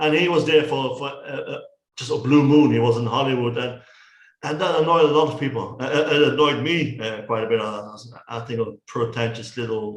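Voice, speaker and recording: A somewhat breathy man speaks at medium pitch and a fairly quick pace with ordinary pitch variation, with audible room echo in the recording. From Netherlands. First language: Dutch. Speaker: film reviewer. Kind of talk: casual chat. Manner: halting.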